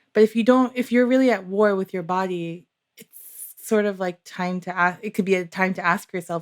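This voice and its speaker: A woman with a normal speaking voice talks at a moderate pace and medium pitch, with ordinary pitch variation, big swings in loudness and hardly any pauses. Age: 40s. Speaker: physician, show host. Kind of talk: casual chat.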